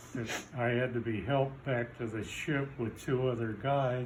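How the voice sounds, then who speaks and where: Over noticeable background noise, a man with an American accent speaks fairly slowly at a medium pitch, his intonation monotone and flat. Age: 80s+. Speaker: Navy veteran. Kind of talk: interview answer. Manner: casual, reminiscing.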